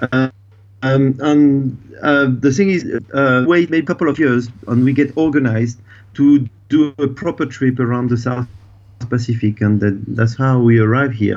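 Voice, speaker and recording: A man with a French accent talks at a fairly slow pace and medium pitch, with ordinary pitch variation and very even loudness. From France. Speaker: dive expedition operator. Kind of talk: interview. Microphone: delay on the line.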